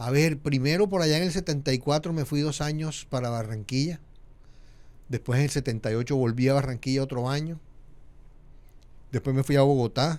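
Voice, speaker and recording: A man talks at a fairly quick pace with a fairly high pitch and ordinary pitch variation. Long, frequent pauses break up his speech. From Colombia, Montería (Córdoba), Caribbean coast. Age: 60s. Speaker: media founder and communicator. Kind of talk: podcast interview.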